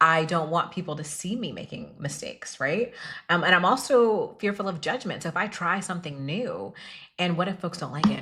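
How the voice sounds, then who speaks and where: A woman talks at a fairly quick pace with lively intonation. Her pitch is fairly low. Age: 30s. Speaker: podcast host. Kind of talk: solo podcast monologue. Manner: animated.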